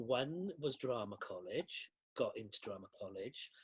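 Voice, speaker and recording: A man with a Welsh accent speaks in a somewhat breathy voice, recorded dry and close with no echo. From South Wales Valleys. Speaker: costume designer. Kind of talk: interview.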